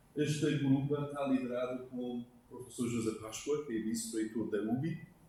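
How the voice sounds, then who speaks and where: In a room with audible echo, someone speaks with a non-native accent and ordinary pitch variation. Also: man. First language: not Portuguese (speaking Portuguese). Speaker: university professor. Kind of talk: technical presentation.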